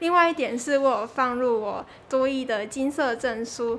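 A woman's high-pitched voice with a Taiwanese accent. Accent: Taiwanese Mandarin. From Taiwan, Kaohsiung. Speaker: university student. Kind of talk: interview.

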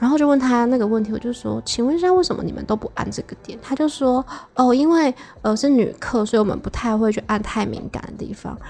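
This woman talks at a fairly quick clip with hardly any pauses, her pitch high and ordinary in its variation. Her loudness swings widely. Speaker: podcast guest sharing sex life stories. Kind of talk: casual chat.

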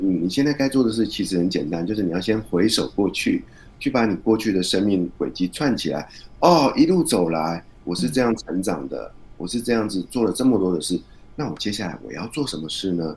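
With lively intonation and a fairly quick pace, a plain, everyday voice is heard. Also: man, fairly low pitch for a man. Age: 40s. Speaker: author and podcaster. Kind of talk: interview.

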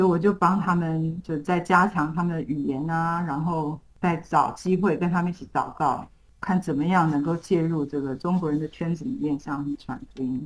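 At a moderate pace, a woman with a fairly low, somewhat breathy voice speaks with ordinary pitch variation. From Taiwan. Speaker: missionary. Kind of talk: interview.

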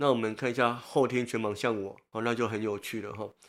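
A man talks at a medium pitch in a flat monotone. The recording is very clean, with a silent background. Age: 50s. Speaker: blind social worker and author. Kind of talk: interview.

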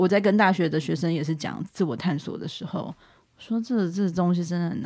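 In an unremarkable speaking voice, a woman with a fairly low pitch speaks at a fairly quick pace with ordinary pitch variation. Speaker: language teacher. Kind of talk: casual chat.

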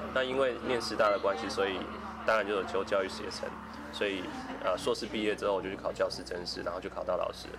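A man speaks at a very fast pace. Noticeable background noise runs behind him. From Taiwan, Kaohsiung. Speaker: counseling psychologist. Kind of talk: interview. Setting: cafe. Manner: halting.

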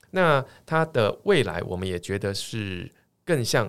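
On a very clean recording with a silent background, a man speaks with a Taiwanese accent. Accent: Taiwanese Mandarin. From Taiwan, Tainan. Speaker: tech startup chairman, former professor. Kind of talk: interview.

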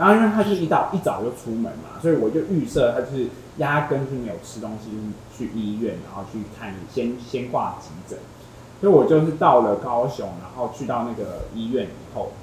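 Intonation is lively and the pace moderate, with audible room echo around the voice. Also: man, medium pitch for a man, big swings in loudness. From Taiwan, Tainan. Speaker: podcast guest sharing breakup story. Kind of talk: casual chat.

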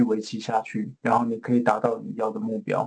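A man's lively intonation in a Taiwanese accent. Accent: Taiwanese Mandarin. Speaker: pharmaceutical innovation executive. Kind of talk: interview.

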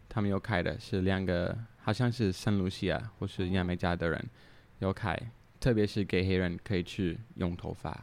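Over a silent background in a very clean recording, a man speaks at a very deep, low pitch, at a fairly slow pace with fairly even intonation. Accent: English. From Canada, Toronto. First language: English (speaking Chinese). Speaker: drinks brand founder. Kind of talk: casual chat. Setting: recorded at his home.

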